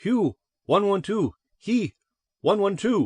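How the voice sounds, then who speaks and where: In a squeaky, put-on character voice pitched high, a man speaks at a fairly slow pace against a quiet background. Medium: read story. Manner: broken speech, trilling.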